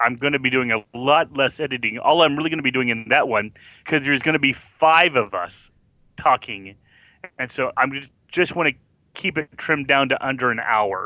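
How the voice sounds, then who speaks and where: Medium pitch and ordinary pitch variation from a male speaker, moving at a moderate pace. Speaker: fellow podcaster. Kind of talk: casual chat. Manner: giggles often.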